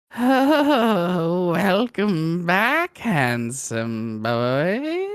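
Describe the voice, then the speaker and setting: The put-on character voice sits at a middle pitch and makes very wide pitch swings. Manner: strange, familiar, shuffling.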